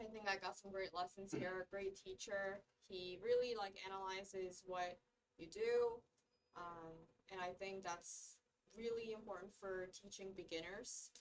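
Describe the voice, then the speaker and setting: Here is a plain, everyday voice from a woman. Her pitch is medium and her intonation fairly even. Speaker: medical student. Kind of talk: casual chat.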